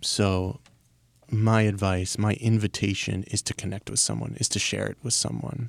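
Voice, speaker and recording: Fairly low-pitched and fairly even in intonation, a man with an American accent uses an unremarkable speaking voice, the sound dry and close with no echo. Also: moderate pace. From Baltimore, US. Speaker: life coach. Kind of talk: interview. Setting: studio.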